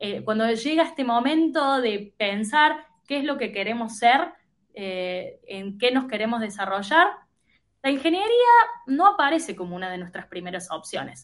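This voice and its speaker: Fairly slow, fairly high speech from a woman, with very wide pitch swings and big swings in loudness. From Argentina, Córdoba province. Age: 30s. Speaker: tech product manager. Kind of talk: interview conversation. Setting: remote call.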